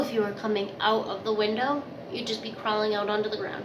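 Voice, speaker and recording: There is a woman speaking at a fairly high pitch. Audible room echo and noticeable background noise surround her voice. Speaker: vlogger. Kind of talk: casual storytelling to camera. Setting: bathroom.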